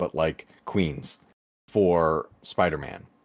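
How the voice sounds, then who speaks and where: A man at a fairly slow pace on a very clean recording with a silent background. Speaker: retro gaming YouTuber. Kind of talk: casual chat.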